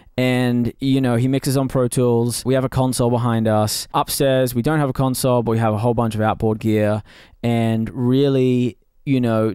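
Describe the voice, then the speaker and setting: A man at medium pitch and moderate pace, in a very clean recording with a silent background and a dry, close sound with no echo. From Australia. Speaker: drummer in a band. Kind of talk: casual Q&A chat. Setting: home drum studio.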